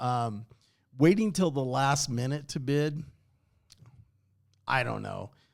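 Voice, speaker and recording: In a very clean recording with a silent background, a man speaks very slowly at a fairly high pitch with ordinary pitch variation. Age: 60s. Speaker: auction house manager. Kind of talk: casual podcast chat. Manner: halting, many filler words.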